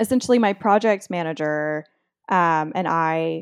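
In a very clean, dry and close recording with a silent background and no echo, a woman speaks at a fairly slow pace with ordinary pitch variation. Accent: American. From Texas, near the Mexican border. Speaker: author. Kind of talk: interview.

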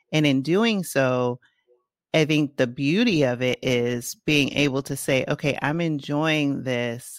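Someone speaks very slowly with a Bronx accent in a very clean recording with a silent background. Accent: Bronx New York. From Bronx, New York. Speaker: podcast host. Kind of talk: interview conversation.

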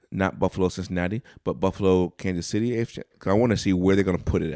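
Captured in a very clean recording with a silent background, a man with a very deep, low pitch speaks in an animated tone with ordinary pitch variation. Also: dry, close sound with no echo. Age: 40s. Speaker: podcast co-host. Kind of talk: casual chat.

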